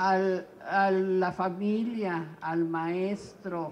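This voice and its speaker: The delivery is monotone, with flat intonation. Room echo is audible. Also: woman. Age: 60s. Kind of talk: press conference statement.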